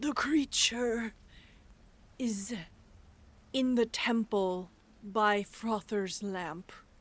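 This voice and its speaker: Putting on a character voice, a woman talks at a fairly high pitch with ordinary pitch variation. She goes very slowly, with long, frequent pauses. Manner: compelled, eerie.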